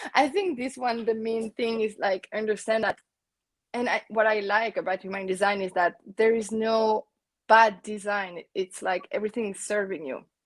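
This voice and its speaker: An ordinary speaking voice at a moderate pace, with ordinary pitch variation and a dry, close sound free of echo. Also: woman, fairly high pitch for a woman. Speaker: business coach, client. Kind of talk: interview, casual chat. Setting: live video stream.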